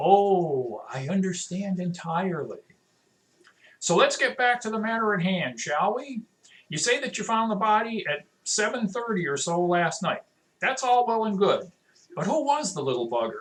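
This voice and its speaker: A gruff, put-on character voice, fairly high in pitch, at a moderate pace. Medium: read story. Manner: gruff, blunt.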